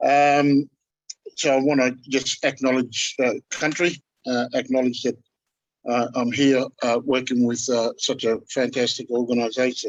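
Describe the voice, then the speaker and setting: A man speaks at medium pitch and a fairly slow pace, his intonation monotone and flat and his loudness very even. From central New South Wales, Australia. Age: 50s. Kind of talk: panel discussion. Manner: halting, many fillers.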